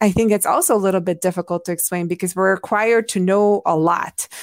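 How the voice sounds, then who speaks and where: A woman's medium-pitched voice at a fairly quick pace with ordinary pitch variation, very clean recording with a silent background, dry and close with no echo. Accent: Hungarian. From Hungary. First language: Hungarian. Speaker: anthropologist and public health professor. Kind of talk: interview conversation.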